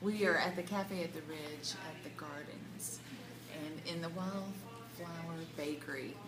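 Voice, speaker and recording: Noticeable background noise and audible room echo surround a woman who speaks at a fairly slow pace. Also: fairly low pitch for a woman, ordinary pitch variation. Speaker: Bible study group leader. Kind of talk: group discussion. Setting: cafe. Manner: loud.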